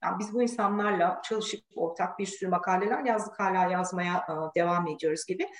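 A woman in a normal speaking voice, at a medium pitch, talks at a fairly quick pace with fairly even intonation and hardly any pauses. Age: 40s. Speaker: engineer and professor. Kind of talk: casual interview.

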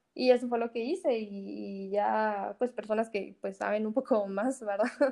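A woman talks in a dark, mellow tone at a medium pitch. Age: 20s. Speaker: engineering student and small food business owner. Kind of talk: casual chat.

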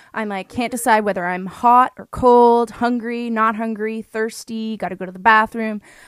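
In a dry, close sound with no echo, a woman uses an ordinary speaking voice at a fairly high pitch with fairly even intonation. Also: very clean recording, silent background. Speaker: podcast host. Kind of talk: casual interview chat.

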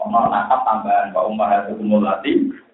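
A man's voice carries audible room echo. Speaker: Islamic cleric teaching Quran exegesis. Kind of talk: religious lecture.

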